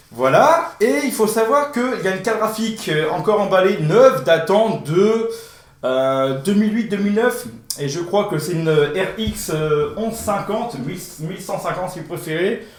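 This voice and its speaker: Lively intonation comes through with audible room echo and noticeable background noise. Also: man, high pitch for a man. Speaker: tech YouTuber. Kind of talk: unboxing video. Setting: indoor room with echo. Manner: fast; hesitant, many fillers. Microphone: echo in the room.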